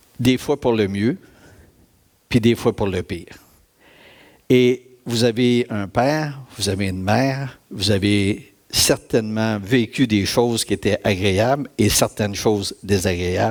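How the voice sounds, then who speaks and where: A very slow pace with long, frequent pauses and ordinary pitch variation. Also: man, fairly low pitch for a man. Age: 60s. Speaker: church speaker giving testimony. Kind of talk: testimony.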